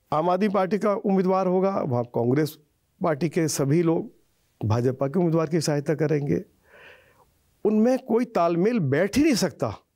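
Against a quiet background, a man with a high pitch and a dark, mellow tone speaks at a fairly slow pace with lively intonation and very even loudness. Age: 70s. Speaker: politician. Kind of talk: interview. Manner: calm. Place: home room. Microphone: lapel.

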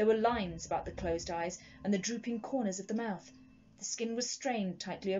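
An unforced reading voice carries the clip. The reading stays unforced.

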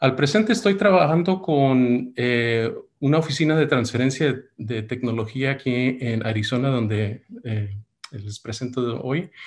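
A man's lively intonation at a fairly slow pace, over a quiet background. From United States, Mexican family. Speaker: medical device entrepreneur and investor. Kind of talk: webinar talk. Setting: video call. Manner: hesitant, many fillers. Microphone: webcam.

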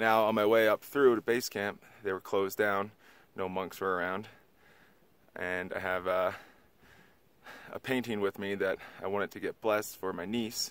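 A man mumbles at a moderate pace with long, frequent pauses and fairly even intonation. His pitch is fairly low, and the sound is dry with no echo. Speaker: trekker vlogger. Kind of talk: casual vlog talk to camera. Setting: outdoors. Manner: hesitant, mumbling with many fillers. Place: open country. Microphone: phone near.

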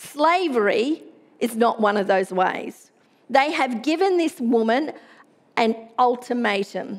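Speaking at a very slow pace, a woman keeps a high pitch and very even loudness. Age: middle-aged. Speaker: pastor. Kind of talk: sermon. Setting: church. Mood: earnest, measured. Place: church. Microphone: headset.

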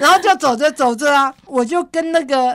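Moderate pace and ordinary pitch variation in a woman's voice. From Taiwan, Sanxia, New Taipei. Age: 70s. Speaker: mountaineer and historical trail researcher. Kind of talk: interview.

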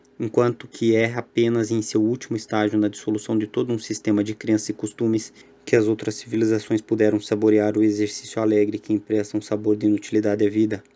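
A man with a fairly low pitch and a dark, mellow tone talks at a very fast pace, leaving hardly any pauses. His intonation is monotone and flat, and his loudness stays very even. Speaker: audiobook narrator. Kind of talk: literary audiobook reading of philosophical aphorisms, measured and solemn. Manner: contemplative, somber, little emotional variation.

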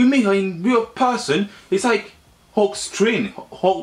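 A man speaks with a high pitch and lively intonation. His pace is fairly slow.

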